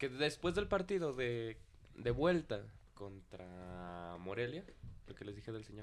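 A man with a Mexican accent speaks at a fairly slow pace in a medium pitch. His pitch swings very widely. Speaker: football podcast co-host. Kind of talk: casual chat.

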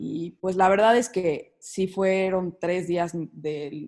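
A woman speaks at a fairly low pitch with fairly even intonation, in a normal speaking voice. The background is quiet. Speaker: psychology student. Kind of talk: casual chat.

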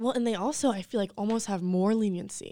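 With an American accent, a woman in an unremarkable speaking voice talks at a fairly quick pace with fairly even intonation, in a very clean recording with a silent background. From North Carolina, Charlotte area. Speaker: special education teacher. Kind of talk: casual interview chat.

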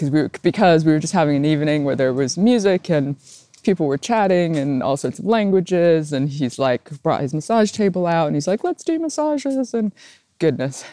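This woman's voice sits fairly low, with a dark, mellow tone and lively intonation. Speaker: podcast host. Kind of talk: solo reflective monologue. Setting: recorded on a phone. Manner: speeds up when excited.

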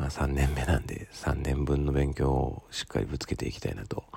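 A man with a very deep, low pitch talks at a very fast pace. Noticeable background noise runs behind him. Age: 30s. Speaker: solo podcaster studying for an exam, parent. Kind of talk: casual monologue. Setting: early morning at home. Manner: halting, many fillers.

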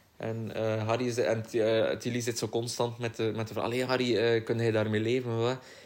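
A man with a medium pitch speaks at a moderate pace in a monotone, flat intonation. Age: 20s. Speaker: podcast co-host. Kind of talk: casual chat.

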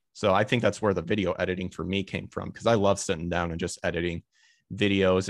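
Speaking fairly quickly in a very deep, low voice, a man with an American accent keeps a monotone, flat intonation. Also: very clean recording, silent background. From Illinois, US Midwest. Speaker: voice actor and streamer. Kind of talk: casual interview chat.

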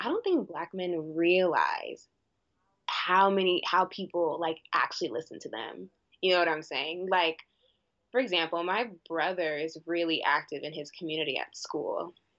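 At a moderate pace, a woman with a fairly low pitch and ordinary pitch variation speaks in an unremarkable speaking voice. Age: 20s. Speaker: university student and club president. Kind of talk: casual chat.

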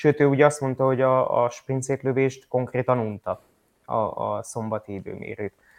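A man talks at a moderate pace with a medium pitch and fairly even intonation, in a plain, everyday voice. The sound is dry and close with no echo, and the background is quiet. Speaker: motorsport podcast co-host. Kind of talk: casual news roundup chat.

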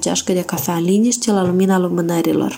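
With a dark, mellow tone and medium pitch, a woman speaks at a fairly quick pace. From Moldova, Ungheni district. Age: young. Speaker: listener contributor. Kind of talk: recorded message.

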